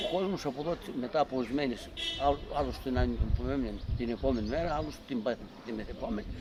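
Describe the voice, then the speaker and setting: Noticeable background noise surrounds a man talking at a very fast pace. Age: 80s+. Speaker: war survivor. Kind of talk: testimony. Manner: halting.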